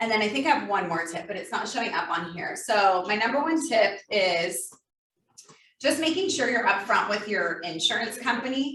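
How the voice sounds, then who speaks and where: Recorded with audible room echo, a woman's fairly high voice moves through very wide pitch swings. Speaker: insurance agent. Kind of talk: presentation. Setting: live workshop with in-person and Zoom audience. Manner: fast.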